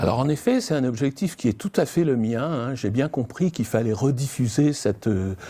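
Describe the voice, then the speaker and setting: A man has an unremarkable speaking voice at a medium pitch, with lively intonation. He keeps a moderate pace with hardly any pauses. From southern France. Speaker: citizen council member. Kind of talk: interview testimony.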